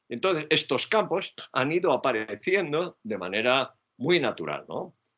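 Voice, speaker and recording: This man's bright, sharp tone moves through very wide pitch swings. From Spain. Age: 70s. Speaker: psychology professor. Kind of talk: lecture.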